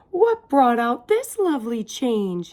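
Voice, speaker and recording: A woman uses a put-on character voice, high in pitch. She moves at a fairly slow pace with lively intonation. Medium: read story.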